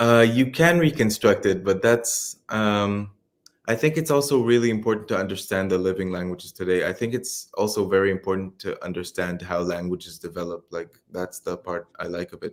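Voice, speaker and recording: A speaker with an Israeli accent talks at a moderate pace, with ordinary pitch variation and big swings in loudness. The recording is very clean, with a silent background. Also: man, fairly low pitch for a man. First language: Hebrew. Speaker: PhD student. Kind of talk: interview. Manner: halting.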